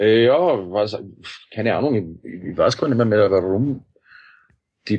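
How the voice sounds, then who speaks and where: This man's moderate pace comes through over a quiet background. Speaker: musician and parodist. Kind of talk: interview.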